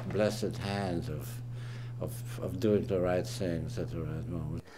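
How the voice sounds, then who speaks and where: A man with a German accent speaks at a moderate pace and medium pitch. His tone is dark and mellow, his intonation fairly even. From Austria, Vienna. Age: 80s+. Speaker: family elder interviewee. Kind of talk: oral history interview. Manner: halting.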